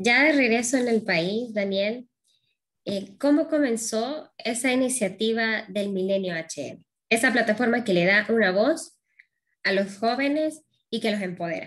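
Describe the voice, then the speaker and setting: In an ordinary speaking voice, a woman talks at a fairly slow pace and fairly high pitch with ordinary pitch variation against a quiet background. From Honduras. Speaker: interviewer. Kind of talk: interview. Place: home room. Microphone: webcam.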